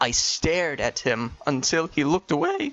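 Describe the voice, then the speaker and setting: A man with a normal speaking voice, a fairly slow pace and ordinary pitch variation. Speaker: voice acting auditioner. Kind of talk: audition reading of a novel excerpt.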